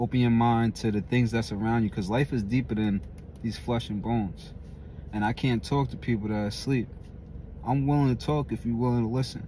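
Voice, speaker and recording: Over light background noise, a man speaks fairly quickly with ordinary pitch variation in a dry recording with no echo. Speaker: gym motivational vlogger. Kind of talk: gym pep talk, motivational monologue to camera. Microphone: phone near.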